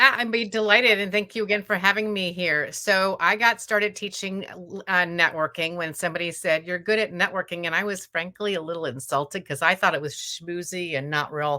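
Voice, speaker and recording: Animated, fairly quick delivery with hardly any pauses. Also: woman, medium pitch for a woman, ordinary pitch variation. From US Midwest, Indiana. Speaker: networking author and trainer. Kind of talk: interview.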